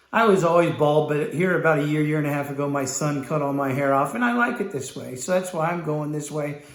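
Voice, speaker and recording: Audible room echo around a man speaking fairly quickly. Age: 60s. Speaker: business sales trainer and company founder. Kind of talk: motivational video talk. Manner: animated.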